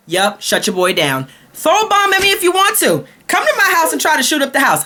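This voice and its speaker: This woman talks with an American accent at a fairly quick clip, her tone animated. Her loudness stays very even throughout. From Brooklyn, New York. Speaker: vlogger. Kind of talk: comedic rant.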